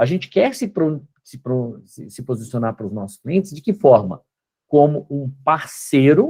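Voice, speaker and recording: Somewhat breathy, a man speaks at a fairly slow pace with lively intonation. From Brazil, Belo Horizonte. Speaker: company co-founder and guest lecturer. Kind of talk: lecture.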